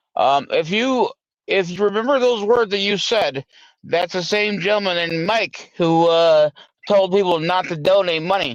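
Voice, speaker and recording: Loud speech at a moderate pace with ordinary pitch variation comes through with a dry, close sound with no echo over a quiet background. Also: man, high pitch for a man. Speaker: livestream host. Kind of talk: casual panel discussion.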